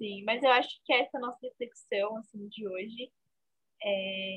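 A woman's voice sits at a fairly high pitch. Her intonation stays fairly even. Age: 20s. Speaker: fashion podcast co-host. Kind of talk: casual chat.

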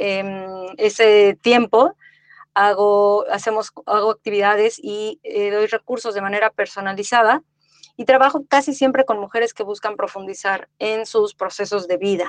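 Dry and close with no echo, a woman with a Mexico City accent, a fairly high pitch and fairly even intonation at a fairly slow pace. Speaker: podcast host, life coach. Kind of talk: casual chat.

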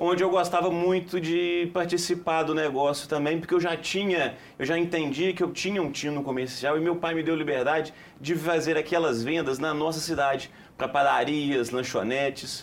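A normal speaking voice from a man at a fairly high pitch, with a moderate pace, fairly even intonation and very even loudness. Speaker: company commercial director. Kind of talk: TV studio interview.

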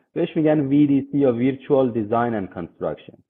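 Lively intonation runs through this man's unremarkable speaking voice. He talks at a fairly quick pace. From Iran, Tehran (east Tehran). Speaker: construction technology manager (VDC/BIM). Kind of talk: interview.

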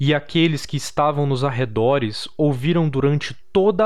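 A man speaks in a dramatic tone. His pitch is fairly high. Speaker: storyteller narrating a horror tale. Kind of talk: dramatic horror narration read aloud. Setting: campfire-style storytelling with background audio. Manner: slow, suspenseful, gravely dramatic.

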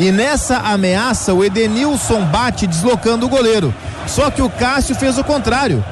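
This man's voice sits high in pitch, with noticeable noise in the background. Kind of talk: live sports commentary, radio-style analysis. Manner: animated, explanatory, emphatic.

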